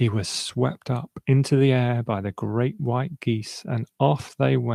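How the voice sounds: Quiet background here. It is a natural reading voice.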